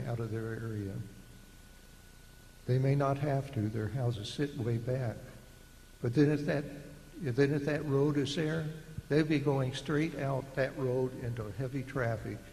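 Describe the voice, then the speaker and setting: A man talks at a fairly slow pace with long, frequent pauses and fairly even intonation. Audible room echo surrounds his voice. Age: 70s. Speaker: retired engineer, resident speaking at public meeting. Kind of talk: public comment. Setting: public meeting.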